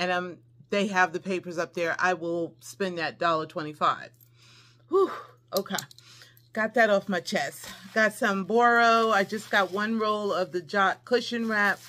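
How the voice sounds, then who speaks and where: A woman with a bright, sharp tone speaks at a fairly slow pace, leaving long, frequent pauses, her pitch varying in an ordinary way. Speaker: haul vlogger. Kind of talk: casual vlog chat. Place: home room. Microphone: phone near.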